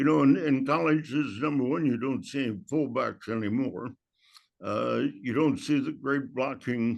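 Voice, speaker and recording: A man speaks at a fairly slow pace with vocal fry. His pitch is medium with ordinary variation, over a quiet background. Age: 80s+. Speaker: football coach. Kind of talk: interview. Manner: halting.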